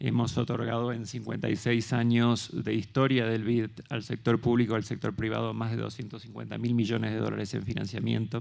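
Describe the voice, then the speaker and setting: A man talks at a fairly slow pace with hardly any pauses. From Argentina. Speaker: development bank investment officer; speaker. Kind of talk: conference panel talk. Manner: halting, with repetitions. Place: stage. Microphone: handheld.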